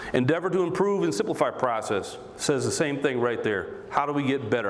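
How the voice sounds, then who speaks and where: With an American accent and lively intonation, a man speaks amid audible room echo and noticeable background noise. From US Midwest, Michigan (Romulus). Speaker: mayor. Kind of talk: political speech. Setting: stage with audience, high school. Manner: fast; animated.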